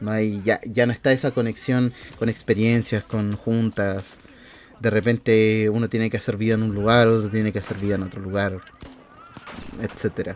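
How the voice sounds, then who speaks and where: A man's flat, monotone delivery moves at a moderate pace against noticeable background noise. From southern Chile, Temuco. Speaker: content creator. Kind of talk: personal vlog monologue. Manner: casual, with frequent fillers.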